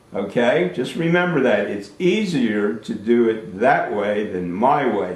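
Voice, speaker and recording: Pitch swings very widely in this American accent, with audible room echo. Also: man. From New Jersey, US. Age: 60s. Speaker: Air Force veteran and school alumnus speaking to a class. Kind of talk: talk to schoolchildren over video call. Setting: video call. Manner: animated.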